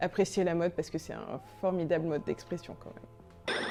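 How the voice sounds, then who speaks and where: Over music in the background, a woman talks at a moderate pace with fairly even intonation. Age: 20s. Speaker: brand founder. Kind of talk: interview answers. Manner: hesitant with frequent fillers.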